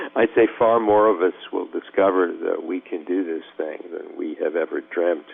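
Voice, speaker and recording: A man's voice against noticeable background noise. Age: 70s. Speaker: surgeon and author. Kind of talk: interview.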